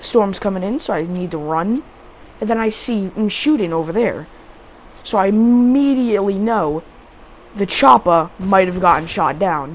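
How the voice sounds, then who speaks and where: Over noticeable background noise, a woman speaks at a moderate pace with a medium pitch. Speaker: gaming video creator. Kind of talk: gameplay commentary. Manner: casual, halting with repetitions.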